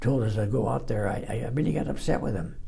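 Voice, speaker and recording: Audible room echo surrounds a man's dark, mellow tone, which has vocal fry and ordinary pitch variation. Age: 80s+. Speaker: war veteran. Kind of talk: testimony. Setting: library interview. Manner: halting.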